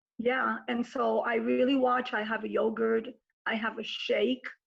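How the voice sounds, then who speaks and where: A woman with an American accent speaks at a fairly slow pace. Her fairly high voice has monotone, flat intonation. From New York. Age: 60s. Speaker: businesswoman and mother. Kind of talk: interview.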